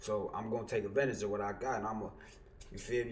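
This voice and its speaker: A somewhat breathy man, fairly low in pitch, at a very fast pace. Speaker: YouTuber, streamer. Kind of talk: casual vlog chat. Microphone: headset.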